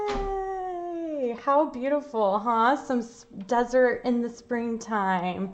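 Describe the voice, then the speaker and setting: Her delivery is very slow, and the woman's pitch moves in an ordinary way. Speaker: art teacher. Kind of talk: live online art class. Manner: animated; loud.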